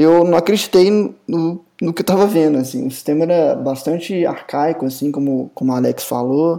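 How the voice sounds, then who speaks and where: A man's dark, mellow, high-pitched voice with hardly any pauses. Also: ordinary pitch variation, moderate pace. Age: 30s. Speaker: software company co-founder, computer scientist. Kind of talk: casual chat.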